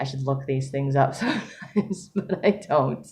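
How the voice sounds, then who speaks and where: Over noticeable background noise, a woman speaks in a very deep, low voice with ordinary pitch variation. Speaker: writer vlogger. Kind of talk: casual vlog monologue. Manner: fast; higher pitch when excited.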